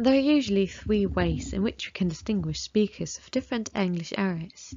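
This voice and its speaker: A woman with a British accent talks at a fairly quick pace. Her loudness rises and falls sharply. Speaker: English teacher. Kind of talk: lesson.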